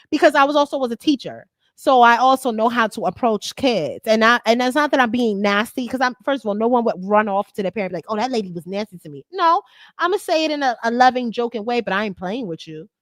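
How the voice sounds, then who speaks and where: The recording is very clean, with a silent background. A woman talks at a very fast pace with lively intonation and big swings in loudness. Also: fairly high pitch for a woman, dry, close sound with no echo. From Georgia. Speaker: cruise vlogger. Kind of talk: casual chat. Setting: live stream.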